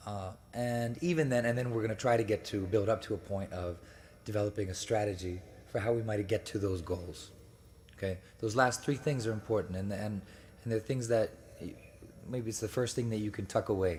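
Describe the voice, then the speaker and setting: With an American accent, a man talks at a fairly quick pace in a fairly low, somewhat breathy voice, using ordinary pitch variation and long, frequent pauses. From United States. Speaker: speaker at religious gathering. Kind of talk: lecture. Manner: halting, many fillers.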